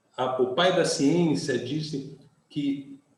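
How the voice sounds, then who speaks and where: A man's fairly high voice carries audible room echo. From Brazil, Rio de Janeiro. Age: 60s. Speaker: pastor. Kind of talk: sermon.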